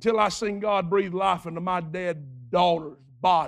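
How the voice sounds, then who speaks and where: At a fairly slow pace, a man talks in a bright, sharp tone. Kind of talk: sermon, preacher in full flow with a call-and-response congregation. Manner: rhythmic and repetitive, building in intensity with vivid storytelling.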